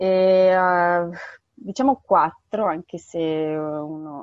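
Pitched fairly low, a woman with an ordinary speaking voice talks with ordinary pitch variation. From northern Italy, Bergamo. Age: 30s. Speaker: humanitarian aid worker. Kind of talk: interview.

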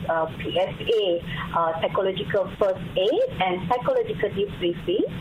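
Amid noticeable background noise, a woman with a Malaysian accent speaks at a medium pitch and a fairly slow pace, her loudness very even. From Malaysia, Kelantan. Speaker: government psychologist. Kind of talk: radio interview. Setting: phone call. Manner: halting.

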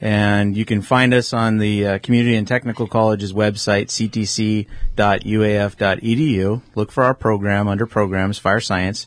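A man with a fairly low voice speaks in monotone, flat intonation at a moderate pace, with hardly any pauses. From Alaska (Juneau). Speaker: fire science professor. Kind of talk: radio interview. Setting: radio studio.

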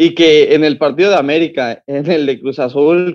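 A man with a Mexican accent, a fairly high pitch and ordinary pitch variation. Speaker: football podcast co-host. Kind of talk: casual chat.

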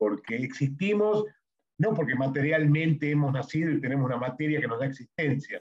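A man's somewhat breathy voice at a fairly high pitch, with ordinary pitch variation and a fairly quick pace. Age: 60s. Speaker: podcast co-host. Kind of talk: reflective conversation.

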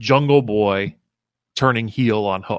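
Recorded with a dry, close sound with no echo against a quiet background, a man uses a normal speaking voice at medium pitch with fairly even intonation. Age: 40s. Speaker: wrestling podcast host. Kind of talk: solo podcast commentary.

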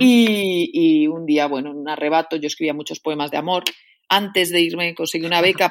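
Very fast delivery with ordinary pitch variation. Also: woman. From Spain, León region. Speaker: poet, novelist and creative writing professor. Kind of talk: interview. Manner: halting, many fillers and repetitions.

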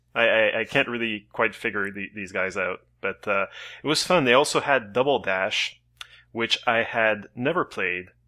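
Over a very clean recording with a silent background, a man speaks at a moderate pace in a medium pitch, his tone bright and sharp, with ordinary pitch variation. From Canada. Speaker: podcast co-host. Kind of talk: casual chat.

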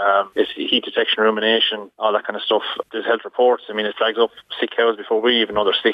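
A man with a Waterford Irish accent, fairly low pitch, monotone, flat intonation and a very fast pace. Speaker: dairy farmer. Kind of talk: radio interview. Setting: phone call.

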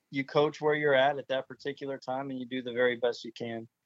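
A man's plain, everyday voice at medium pitch and a fairly quick pace, with an American accent. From Florida. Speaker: high school football coach. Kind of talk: interview.

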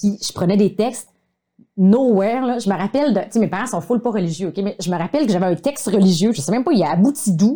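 A woman's somewhat breathy, dark, mellow voice at medium pitch, very fast pace and lively intonation. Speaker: video communication coach. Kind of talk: casual chat. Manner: animated.

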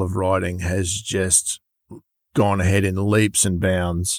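Speaking in an Australian accent, a man has a fairly low pitch and a fairly slow pace. The sound is dry and close, with no echo. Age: 60s. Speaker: trials bike importer and dealer. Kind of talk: interview.

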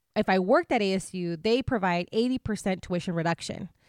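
Very clean and set against a silent background, this recording features a woman with an American accent. She has an unremarkable speaking voice, ordinary pitch variation and a moderate pace. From US-Mexico border, Imperial Valley, California. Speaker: scholar, researcher. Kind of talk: casual interview.

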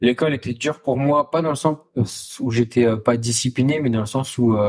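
A man's somewhat breathy voice at medium pitch, moderate pace and fairly even intonation. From Essonne, France (Paris region). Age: 20s. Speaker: chef and restaurant co-owner. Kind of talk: casual interview chat.

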